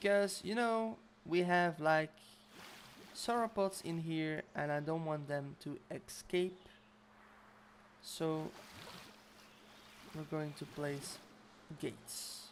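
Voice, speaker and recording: Long, frequent pauses break up the speech. The pace is very slow, with a non-native accent. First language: not English. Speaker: video game streamer. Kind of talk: gameplay livestream commentary. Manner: casual, hesitant with fillers.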